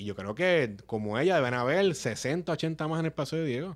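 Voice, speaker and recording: Very wide pitch swings mark a man's fairly high voice at a moderate pace. The recording is very clean, with a silent background. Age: 30s. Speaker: politician. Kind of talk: casual chat.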